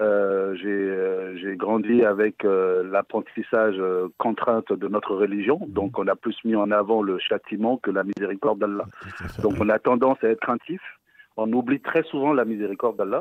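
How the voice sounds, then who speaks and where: Over a quiet background, a man with an unremarkable speaking voice talks at a moderate pace in a fairly low pitch with ordinary pitch variation, the sound dry with no echo. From West Africa. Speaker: caller. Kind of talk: phone-in question. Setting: phone call. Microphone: phone line.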